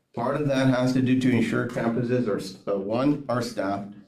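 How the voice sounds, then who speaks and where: Here a man speaks at a medium pitch with ordinary pitch variation. His pace is moderate, and audible room echo fills the recording. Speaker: school district administrator. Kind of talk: board presentation. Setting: school board meeting room.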